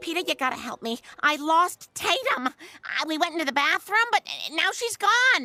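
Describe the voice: A cartoonish character voice, female-sounding and extremely high-pitched, at a moderate pace.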